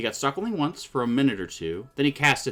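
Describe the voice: Here someone does plain reading aloud.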